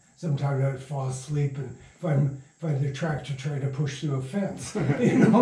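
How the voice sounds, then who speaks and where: A man's fairly high voice with an American accent at a moderate pace, with fairly even intonation, audible room echo and noticeable background noise. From Michigan. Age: 80s+. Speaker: radio playwright and producer. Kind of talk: interview. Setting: at his home.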